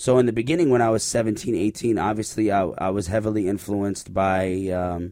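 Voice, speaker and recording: A man with an unremarkable speaking voice, fairly low in pitch and at a fairly quick pace, on a very clean recording with a silent background. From Canada and the UAE, born in Iraq. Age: 30s. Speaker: rapper. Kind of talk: interview. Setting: studio.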